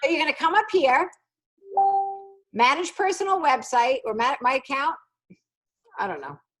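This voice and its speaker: Animated in tone, a woman with a high pitch and very wide pitch swings speaks at a moderate pace with long, frequent pauses over music in the background. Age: 50s. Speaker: sales team leader. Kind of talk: training session.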